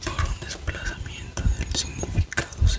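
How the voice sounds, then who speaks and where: A whisper moves at a very slow pace against noticeable background noise. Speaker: ASMR creator. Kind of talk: ASMR reading of philosophy text for sleep. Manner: whispered; soft-spoken, relaxing.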